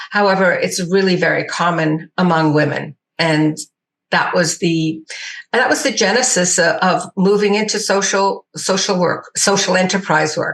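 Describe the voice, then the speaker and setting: A woman speaks at a moderate pace with ordinary pitch variation. Her loudness stays very even. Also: medium pitch for a woman. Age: 60s. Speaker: social entrepreneur. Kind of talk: interview. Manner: hesitant.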